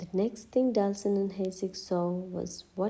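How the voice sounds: A natural reading voice is heard. The text is read aloud.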